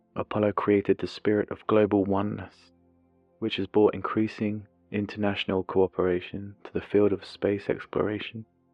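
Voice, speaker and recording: A man's fairly low, flat monotone at a moderate pace, with music in the background. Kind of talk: ASMR documentary narration. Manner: soft-spoken, not whispered.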